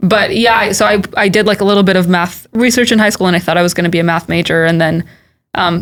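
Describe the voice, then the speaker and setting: A woman with a medium-pitched voice and some vocal fry talks very fast, her pitch rising and falling in an ordinary way. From US West Coast, Silicon Valley. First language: Hebrew. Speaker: tech product manager. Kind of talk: podcast interview.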